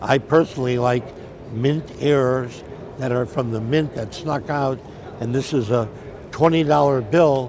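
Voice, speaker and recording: Against noticeable background noise, a man with a medium pitch talks at a fairly slow pace with ordinary pitch variation. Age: 80s+. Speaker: coin dealer. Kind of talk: interview.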